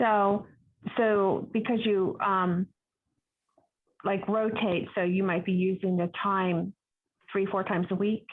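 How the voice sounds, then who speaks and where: A woman's medium-pitched voice, very slow and monotone with flat intonation, very even loudness, and long, frequent pauses. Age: 60s. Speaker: attendee. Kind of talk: casual chat. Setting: video call.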